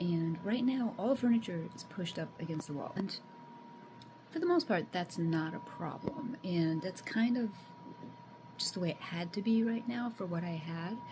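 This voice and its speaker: With lively intonation and a medium pitch, a woman talks at a moderate pace over noticeable background noise. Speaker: homesteading vlogger. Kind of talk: casual vlog. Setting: at home. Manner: halting; soft-spoken.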